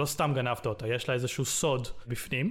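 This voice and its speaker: An ordinary speaking voice at a moderate pace. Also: man. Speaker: game developer. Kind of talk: interview.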